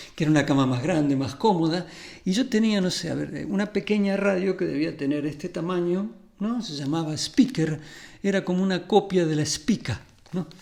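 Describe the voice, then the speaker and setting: A man's high voice moves at a moderate speed, its pitch varying in an ordinary way. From Argentina, Buenos Aires area (Ramos Mejía). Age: 60s. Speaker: music therapist and musician. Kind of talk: conference talk.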